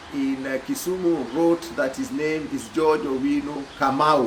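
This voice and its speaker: With an East African accent, a man of fairly high pitch speaks at a fairly slow pace with ordinary pitch variation. Noticeable background noise and audible room echo surround him. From Kenya. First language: Swahili. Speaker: social commentator. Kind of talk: video monologue. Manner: hesitant with fillers.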